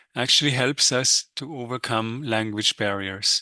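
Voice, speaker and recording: Against a quiet background, a man with a non-native accent speaks at a medium pitch and a moderate pace. The sound is dry and close with no echo, and his tone is bright and sharp. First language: not English. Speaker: economics professor. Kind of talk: webinar lecture. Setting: live webinar. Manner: hesitant with frequent fillers.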